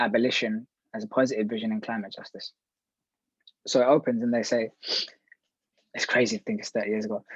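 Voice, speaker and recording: In a London accent, a man speaks at a very fast pace with long, frequent pauses and big swings in loudness, in a dry, close sound with no echo. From West London. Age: 30s. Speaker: activist. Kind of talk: panel talk.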